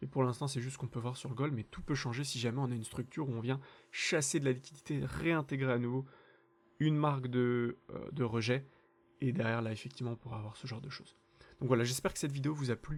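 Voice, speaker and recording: A very fast male voice with fairly even intonation. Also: medium pitch for a man. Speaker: crypto trading analyst, channel host. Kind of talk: market analysis tutorial.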